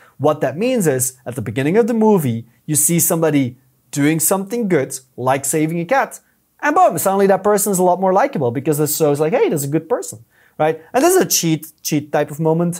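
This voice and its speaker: Someone with a European accent speaks at a fairly quick pace with lively intonation. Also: man, fairly high pitch for a man. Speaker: YouTube strategist. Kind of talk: podcast interview.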